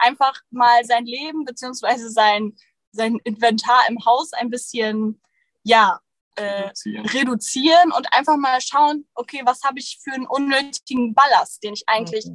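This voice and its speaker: Dry and close with no echo, a woman's high-pitched voice moves at a fairly slow pace, with ordinary pitch variation and big swings in loudness. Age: 20s. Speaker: photographer and van nomad. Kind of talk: casual interview. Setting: in a van in Sweden, streamed.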